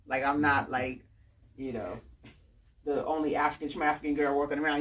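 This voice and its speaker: An animated woman with a very deep, low pitch and a New York accent. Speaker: author and book fair founder. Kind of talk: talk to an audience.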